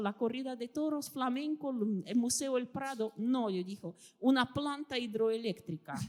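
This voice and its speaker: This woman talks in a high pitch with ordinary pitch variation. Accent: Russian. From Russia (Soviet Union). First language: Russian (speaking Spanish). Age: 50s. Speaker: historian and writer. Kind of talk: interview.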